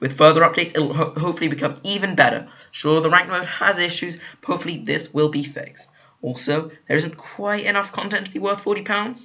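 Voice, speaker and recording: A man with a high pitch speaks very fast in a British accent, with ordinary pitch variation. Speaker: gaming YouTuber. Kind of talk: video game review. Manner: halting, many fillers.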